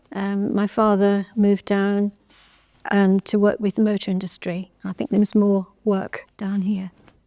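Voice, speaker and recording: A woman at a fairly slow pace with monotone, flat intonation, in a dry, close sound with no echo. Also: medium pitch for a woman. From English Midlands, Birmingham (Erdington). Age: 70s. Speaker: oral history interviewee. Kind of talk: oral history testimony. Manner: hesitant, with fillers.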